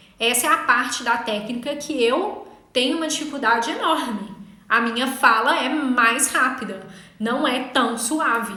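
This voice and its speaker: A woman speaks at a fairly slow pace with a high pitch and ordinary pitch variation. Audible room echo and noticeable background noise fill the recording. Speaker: legal writing instructor. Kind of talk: online class. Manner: incisive.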